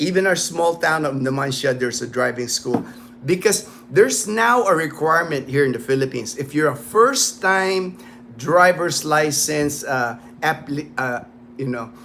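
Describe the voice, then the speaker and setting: Using an unremarkable speaking voice with an American accent, a man speaks at a moderate pace and a fairly high pitch with lively intonation. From United States. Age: 50s. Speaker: livestream host, retired Air Force veteran. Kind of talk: casual livestream chat. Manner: casual, with frequent fillers and repetitions.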